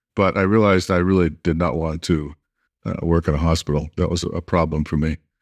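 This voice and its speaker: The speaker has an American accent and fairly even intonation. The recording is very clean and silent behind the voice, with a dry, close sound and no echo. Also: man. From US Northeast (Massachusetts). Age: 70s. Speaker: acupuncturist and pioneer of acupuncture education. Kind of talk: interview conversation. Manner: halting, many filler words.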